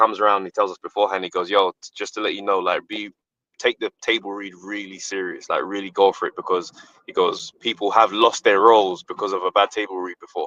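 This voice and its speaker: A man with a British accent at a very fast pace, his loudness swinging widely. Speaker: comedian and actor. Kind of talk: interview answer. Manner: casual, animated storytelling.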